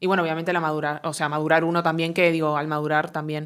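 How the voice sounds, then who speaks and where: A woman with a Uruguayan accent on a very clean recording with a silent background. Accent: Uruguayan, unchanged. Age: 20s. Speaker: comedian and content creator. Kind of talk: interview. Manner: hesitant, many fillers.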